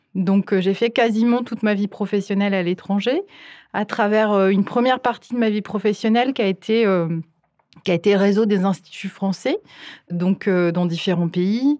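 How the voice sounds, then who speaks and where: At a moderate pace, a woman speaks with medium pitch, ordinary pitch variation and a dark, mellow tone. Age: 40s. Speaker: cinema director and programmer. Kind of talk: interview. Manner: halting.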